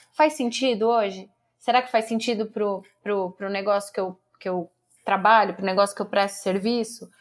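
A woman with an unremarkable speaking voice talks at a medium pitch and moderate pace with fairly even intonation, on a very clean recording with a silent background. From Brazil, São Paulo state interior. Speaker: public relations professional and academic. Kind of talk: interview.

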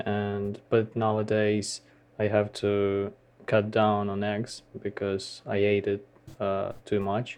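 A man's very slow, monotone delivery in a fairly low pitch, with a Ukrainian accent and flat intonation. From Ukraine. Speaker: podcast co-host, English learner. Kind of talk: casual chat, answering listener questions. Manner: halting, searching for words.

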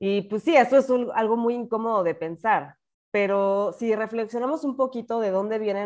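Against a quiet background, a woman with a Mexican accent speaks at a fairly slow pace. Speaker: podcast host. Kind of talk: casual chat.

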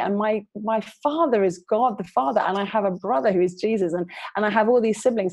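In a London accent, a woman with a fairly high voice speaks at a fairly quick pace. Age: 40s. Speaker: youth worker and author. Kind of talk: interview.

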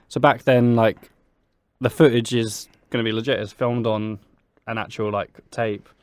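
In a southern English accent, the speaker goes at a moderate pace with long, frequent pauses. The intonation is monotone and flat. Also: man, medium pitch for a man. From Brighton, England. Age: 20s. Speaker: podcast co-host. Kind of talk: casual chat. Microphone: too far from the microphone.

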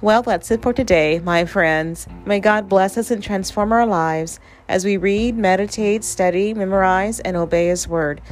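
A medium-pitched woman speaks at a moderate pace with hardly any pauses and ordinary pitch variation. The recording is very clean, with a silent background. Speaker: devotional podcast host. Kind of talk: fervent prayer, heartfelt devotional petition. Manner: earnest; impassioned, rejoicing.

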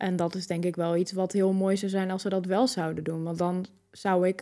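A woman's dark, mellow voice comes through on a very clean recording, the background silent. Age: 20s. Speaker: person living with MS. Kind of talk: interview.

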